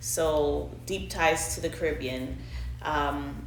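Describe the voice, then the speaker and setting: Music in the background behind a woman, plus audible room echo. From Montreal, Canada, partly raised in Trinidad and Tobago. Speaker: interviewee. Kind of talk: interview.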